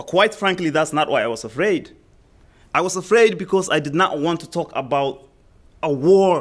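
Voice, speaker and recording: A man with a Somali accent speaks loudly at a moderate pace, his pitch high with ordinary variation. The recording is very clean, with a silent background. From Somalia. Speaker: school community liaison. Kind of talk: public testimony at a meeting. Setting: school board meeting.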